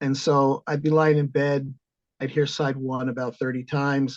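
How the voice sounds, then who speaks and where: An unremarkable speaking voice with an American accent carries fairly even intonation. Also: man. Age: 60s. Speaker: composer and organist. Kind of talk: interview.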